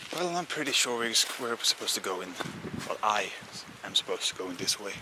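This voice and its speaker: A man speaks at a very fast pace, his medium-pitched voice swinging very widely up and down. Noticeable background noise runs under him. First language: Swedish. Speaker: outdoor vlogger. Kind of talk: walking vlog narration.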